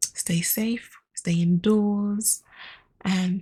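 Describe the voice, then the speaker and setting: A soft-spoken woman whispers in a somewhat breathy voice. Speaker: podcast host and storyteller. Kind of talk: casual outro. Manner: whispering, soft.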